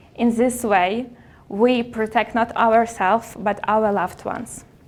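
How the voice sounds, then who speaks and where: Fairly slow and with fairly even intonation, a woman speaks in a non-native accent. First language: not English. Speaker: public speaker. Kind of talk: motivational talk. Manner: halting.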